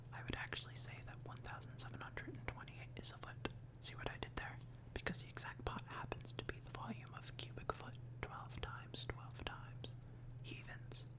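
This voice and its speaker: Whispering at a fairly quick pace amid noticeable background noise. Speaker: ASMR comic book reader. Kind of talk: ASMR comic reading. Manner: whispered.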